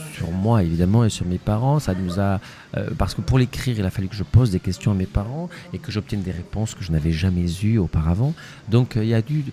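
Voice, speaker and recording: A man with a Spanish accent talks at a fairly quick pace, his fairly low pitch carrying lively intonation. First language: Spanish (speaking French). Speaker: actor and playwright. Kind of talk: interview. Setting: festival interview. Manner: hesitant, many fillers and repetitions.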